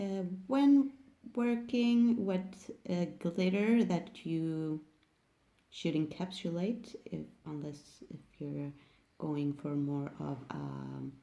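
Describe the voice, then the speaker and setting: The voice has a dark, mellow tone and a very slow pace. Its pitch swings very widely. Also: woman, fairly low pitch for a woman. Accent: non-native. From Sweden. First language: Swedish. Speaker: nail technician. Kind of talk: tutorial. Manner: halting.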